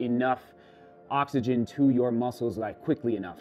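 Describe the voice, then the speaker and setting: Music plays faintly behind the voice. A man talks at a moderate speed. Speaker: runner vlogger. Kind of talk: casual vlog chat. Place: kitchen. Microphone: camera far.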